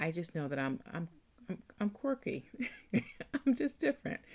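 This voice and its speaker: A woman speaks at a moderate pace. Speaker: author and podcast host. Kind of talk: casual podcast talk. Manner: hesitant, many filler words.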